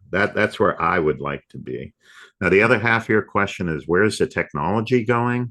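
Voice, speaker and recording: The voice moves at a fairly quick pace with lively intonation, a bright, sharp tone and vocal fry. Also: man, fairly low pitch for a man. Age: 60s. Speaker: software company CEO. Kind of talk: podcast interview.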